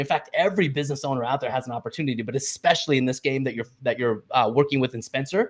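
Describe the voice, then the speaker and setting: A man talks at a very fast pace with lively intonation and a fairly high pitch. His somewhat breathy voice comes through a very clean recording with a silent background. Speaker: financial educator. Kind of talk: presentation. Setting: livestream. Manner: animated.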